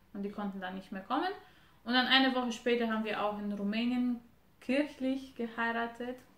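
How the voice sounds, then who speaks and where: Speaking in a Romanian accent, a woman uses a fairly high pitch, a moderate pace and ordinary pitch variation. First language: Romanian (speaking German). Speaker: wife of a guest couple. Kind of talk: casual interview.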